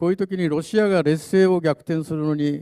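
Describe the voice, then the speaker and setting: At a moderate pace, a man speaks with a fairly high pitch and a dark, mellow tone. The background is quiet. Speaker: panelist, doctor and atomic bomb survivor advocate; presenter. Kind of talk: panel talk. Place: hall.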